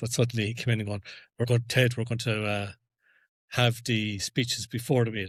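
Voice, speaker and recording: A man's somewhat breathy voice at a medium pitch, monotone and flat, on a very clean recording with a silent background. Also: fairly quick pace. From Ireland. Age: 40s. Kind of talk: casual podcast conversation.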